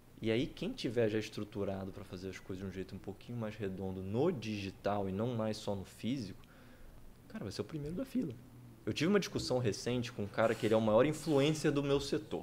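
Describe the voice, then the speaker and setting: A man at a fairly quick pace, medium in pitch, with lively intonation and an ordinary speaking voice. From Campos dos Goytacazes, Rio de Janeiro state, Brazil. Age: 30s. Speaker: tech entrepreneur. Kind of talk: casual interview chat.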